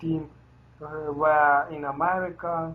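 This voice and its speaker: Someone talks at a very slow pace with a non-native accent. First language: not English. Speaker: metal band member. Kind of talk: interview. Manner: halting.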